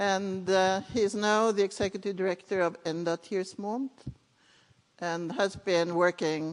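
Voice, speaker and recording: A woman's medium-pitched voice at a very slow pace, with a Norwegian accent and ordinary pitch variation. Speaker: conference session chair. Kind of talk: panel moderation.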